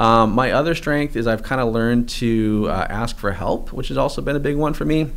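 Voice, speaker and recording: A man with an American accent speaks at a fairly quick pace and medium pitch, with ordinary pitch variation, hardly any pauses, and audible room echo. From New England, US. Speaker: online marketing course creator, former personal trainer. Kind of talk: interview.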